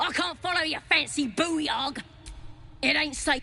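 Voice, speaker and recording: A put-on character voice with a high pitch moves at a fairly slow pace over clear background noise. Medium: video game. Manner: rough, slangy.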